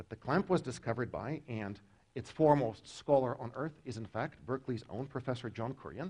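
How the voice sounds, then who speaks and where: Somewhat breathy and dark, mellow in tone, a man speaks at a medium pitch with ordinary pitch variation. His fairly quick delivery shows big swings in loudness. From Russia. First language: Russian. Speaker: professor. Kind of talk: lecture. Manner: animated.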